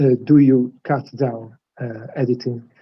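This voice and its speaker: At a very slow pace, a man with a non-native accent speaks in a somewhat breathy voice. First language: not English. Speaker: interviewer. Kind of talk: interview. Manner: halting.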